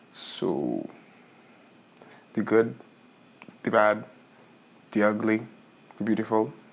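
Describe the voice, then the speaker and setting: A soft-spoken man with a fairly low pitch talks at a very slow pace, leaving long, frequent pauses. His intonation is lively. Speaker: manifestation vlogger. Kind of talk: casual vlog monologue. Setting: at home late at night.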